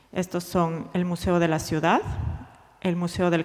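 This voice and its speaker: A woman with a fairly low pitch, speaking at a fairly slow pace. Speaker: museum researcher presenting at a conference. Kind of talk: conference presentation. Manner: slow, deliberate Spanish; halting, hesitant English.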